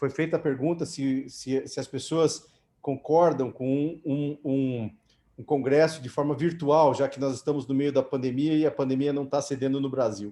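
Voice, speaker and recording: A man with a fairly high pitch and a dark, mellow tone talks at a fairly slow pace with fairly even intonation against a quiet background. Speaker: orthopedic surgeon, society president. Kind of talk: closing remarks at online meeting.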